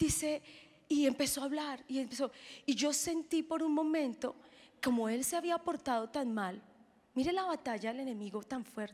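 An animated woman with a high voice at a moderate pace. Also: ordinary pitch variation. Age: 30s. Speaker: pastor. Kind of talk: sermon. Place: stage. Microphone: handheld.

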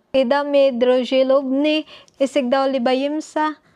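At a fairly slow pace, a woman speaks with a high pitch and a dark, mellow tone. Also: quiet background. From Philippines. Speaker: vlogger and student; vlogger. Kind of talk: casual vlog monologue. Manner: halting, non-fluent. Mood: friendly, smiling. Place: home room. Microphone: webcam.

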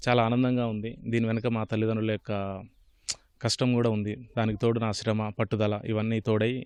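A man speaks in a flat monotone. The sound is dry and close, with no echo. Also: medium pitch for a man. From Telangana, Suryapet district village. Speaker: government officer, job exam topper. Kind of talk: interview.

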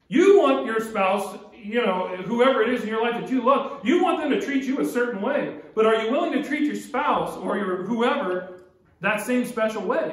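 With extremely high pitch and lively intonation, a man speaks at a moderate pace with hardly any pauses. Audible room echo is present. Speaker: pastor. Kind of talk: sermon. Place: church. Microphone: podium.

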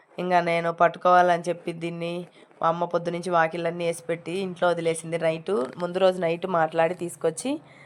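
A woman with a fairly low pitch talks in a monotone, flat intonation. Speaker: vlogger. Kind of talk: vlog narration. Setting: outdoors.

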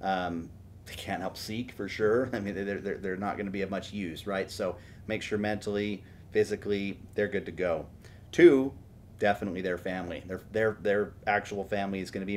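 Over light background noise, a man with an American accent talks at a fairly quick pace in a normal speaking voice. His pitch is fairly low and his intonation fairly even. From Houston, Texas. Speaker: tech startup CEO; podcast guest. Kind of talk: interview podcast. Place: home room.

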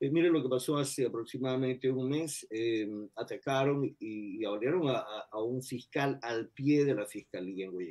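The man's tone is dark and mellow, with ordinary pitch variation and hardly any pauses. He keeps a moderate pace against a quiet background. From Ecuador. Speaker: retired FBI agent. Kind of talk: interview. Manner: halting. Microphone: video call.

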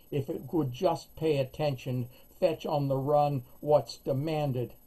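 A man's somewhat breathy, dark, mellow voice with fairly even intonation at a fairly slow pace. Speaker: poet. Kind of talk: reading aloud. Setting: video call. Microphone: webcam.

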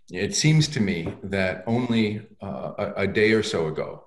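A man talks at a fairly low pitch. Audible room echo surrounds him against a quiet background. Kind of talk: commencement address. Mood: warm, congratulatory. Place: home room. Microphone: webcam.

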